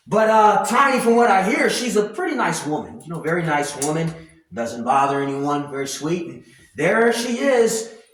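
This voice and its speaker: Speaking at a moderate pace in an animated tone, a man with a high voice makes very wide pitch swings and big swings in loudness, with audible room echo around him. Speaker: commentary vlogger. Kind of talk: casual rant.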